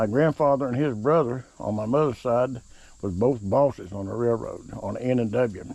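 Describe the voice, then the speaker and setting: A man with an Appalachian accent, medium pitch, ordinary pitch variation and a fairly slow pace. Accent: hillbilly (Appalachian). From southern West Virginia. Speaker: home cook. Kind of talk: casual talk while cooking. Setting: outdoors on back porch. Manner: halting, many fillers.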